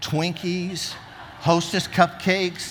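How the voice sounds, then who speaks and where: A man talks, and room echo can be heard around his voice. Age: 60s. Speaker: pastor. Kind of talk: sermon. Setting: church.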